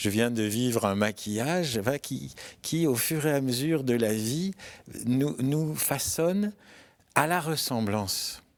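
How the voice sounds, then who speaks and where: At a very slow pace, a man speaks with lively intonation at a medium pitch, in a very clean recording with a silent background. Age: 70s. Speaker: friar and historian. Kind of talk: interview. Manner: halting.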